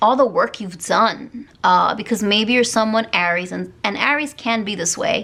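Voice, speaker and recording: A woman talks at a moderate pace with hardly any pauses, her fairly high voice bright and sharp with some vocal fry. Her pitch varies in an ordinary way. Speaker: tarot reader. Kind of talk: tarot reading monologue. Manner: animated.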